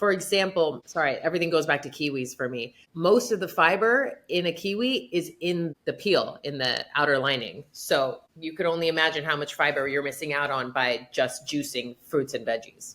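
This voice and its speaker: In a very deep, low voice, a woman speaks with an animated tone and lively intonation at a moderate pace, hardly pausing. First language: not English. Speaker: gastroenterologist. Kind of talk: podcast interview.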